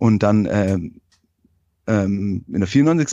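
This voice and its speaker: A man's dark, mellow tone with ordinary pitch variation, over a quiet background. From Hohenlohe, Baden-Württemberg, Germany. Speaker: football fan guest. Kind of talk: casual chat.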